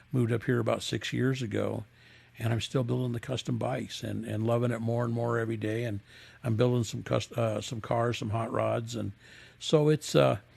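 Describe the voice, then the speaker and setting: Somewhat breathy and fairly even in intonation, the voice moves at a fairly quick pace with an American accent. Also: man, medium pitch for a man. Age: 70s. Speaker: custom motorcycle builder. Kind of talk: interview. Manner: halting.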